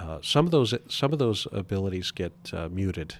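In a very clean recording with a silent background, a man talks at a moderate pace with a fairly low pitch. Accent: American. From US Pacific Northwest (Spokane, Washington). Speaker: company president and CEO. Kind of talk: interview conversation. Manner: hesitant with many fillers and repetitions.

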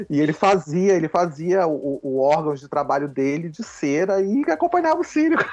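This man has a plain, everyday voice, fairly high in pitch with ordinary pitch variation. He keeps a moderate pace with hardly any pauses. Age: 40s. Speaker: writer and theatre director. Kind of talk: casual interview.

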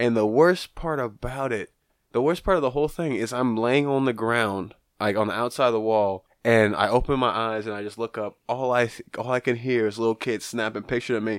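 In an ordinary speaking voice, a man talks at a medium pitch with ordinary pitch variation, on a very clean recording with a silent background. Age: 20s. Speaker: wrestler. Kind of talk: casual chat. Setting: studio.

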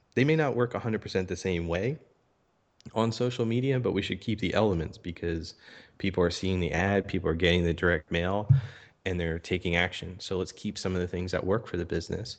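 Very fast speech from a man with a Philadelphia accent, very deep and low in pitch, with ordinary pitch variation. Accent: Philadelphia American. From US, Philadelphia area. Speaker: social media marketing entrepreneur. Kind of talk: podcast interview.

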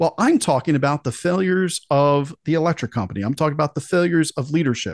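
A man with a normal speaking voice talks at a fairly quick pace, fairly high in pitch with lively intonation, the sound dry and close with no echo against a quiet background. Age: 40s. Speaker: podcast host. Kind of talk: political talk show interview.

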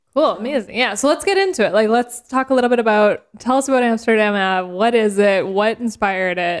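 Fairly quick and fairly high in pitch, a woman talks in an ordinary speaking voice with ordinary pitch variation. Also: hardly any pauses, big swings in loudness. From Canada. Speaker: podcast host. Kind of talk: casual interview chat. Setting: studio.

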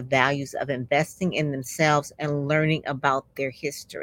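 Dry and close with no echo, a woman's voice sits at a very deep, low pitch. She speaks with an American accent. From Detroit. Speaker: podcast host. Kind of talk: interview.

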